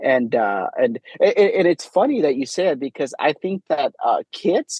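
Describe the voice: A man speaks with big pitch swings, a slightly husky edge and a slightly mellow tone. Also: fairly high pitch for a man, moderate pace, dry, close sound with no echo.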